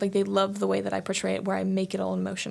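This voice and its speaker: This is a woman speaking with an American accent. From Maryland, US. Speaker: college student. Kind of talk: casual chat. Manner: occasional stutter.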